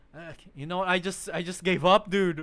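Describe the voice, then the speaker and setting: Using a raised, projected voice, a man with an American accent speaks fairly slowly, his pitch high and his tone bright and sharp. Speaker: streamer. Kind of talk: casual livestream chat. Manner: animated.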